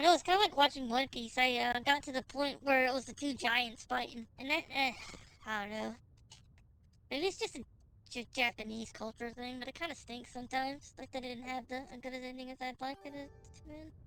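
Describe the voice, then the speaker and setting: A woman speaks in a high pitch at a fairly quick pace, her tone playful. Her loudness swings widely. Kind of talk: casual stream chatter. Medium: game stream. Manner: chatty, playful.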